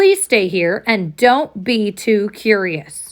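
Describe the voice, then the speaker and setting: A woman puts on a character voice at a medium pitch. She speaks at a very slow pace. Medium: read story. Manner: gentle.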